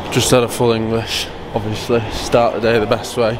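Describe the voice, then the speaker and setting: Noticeable background noise fills the recording. Over it, a man speaks fairly slowly. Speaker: motocross shop owner vlogger. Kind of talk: casual vlog chat. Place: station. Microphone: phone near.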